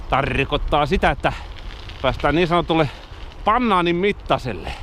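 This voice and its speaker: Over noticeable background noise, a man talks in a fairly high voice with ordinary pitch variation. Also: moderate pace. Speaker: cycling vlogger. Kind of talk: casual vlog narration. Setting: outdoors, riding a bike.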